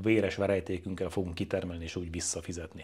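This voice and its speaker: A man talks at a fairly quick pace. Behind him, the background is quiet. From Hungary. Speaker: real estate agent. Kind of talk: tutorial. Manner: casual. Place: home room. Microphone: lapel.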